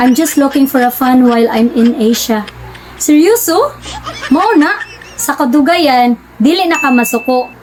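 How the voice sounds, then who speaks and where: A woman speaks at a fairly slow pace in a high pitch, with music playing in the background. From Philippines. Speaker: relationship vlogger. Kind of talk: vlog monologue.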